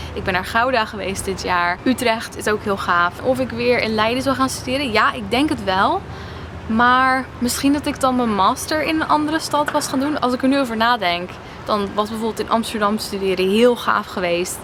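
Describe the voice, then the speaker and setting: Over noticeable background noise, a woman with a fairly high pitch talks at a moderate pace with lively intonation. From Netherlands. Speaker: vlogger. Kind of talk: casual Q&A vlog. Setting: outdoors by a harbour.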